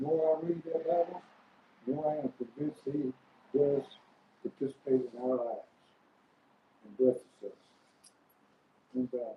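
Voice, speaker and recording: A man talks at a fairly quick pace and fairly high pitch, somewhat breathy, with fairly even intonation. His loudness swings widely, and he leaves long, frequent pauses. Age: 80s+. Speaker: member of a men's group. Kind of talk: casual chat. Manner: halting.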